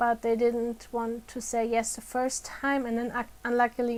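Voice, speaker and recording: A woman with a non-native accent speaks in a fairly high pitch with monotone, flat intonation. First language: non-native English speaker. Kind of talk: educational talk to camera. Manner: slow.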